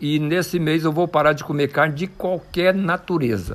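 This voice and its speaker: This man's fairly high voice moves along at a fairly slow pace. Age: 60s. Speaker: mountain bike athlete. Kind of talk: interview. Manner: animated.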